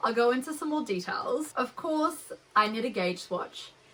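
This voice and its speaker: A woman with an Australian accent and a bright, sharp tone. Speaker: knitting podcaster. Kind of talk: casual chat. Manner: casual, with frequent fillers.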